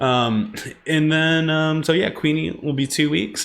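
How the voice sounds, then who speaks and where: Here a man talks with a New Jersey accent. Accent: New Jersey American. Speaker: streamer and podcast host. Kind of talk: casual livestream chat. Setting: live stream. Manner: fast.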